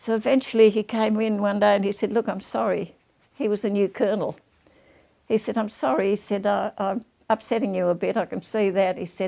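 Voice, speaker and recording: A woman speaks at a fairly quick pace with fairly even intonation. Her voice sits at a medium pitch with a dark, mellow tone. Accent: Australian. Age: 90s. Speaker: war veteran. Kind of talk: interview storytelling.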